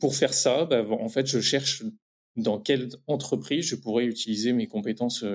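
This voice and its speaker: A man with a normal speaking voice, medium in pitch, moving at a moderate pace. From France, Champagne-Ardenne (Reims). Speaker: entrepreneur in beekeeping. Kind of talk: interview about career path.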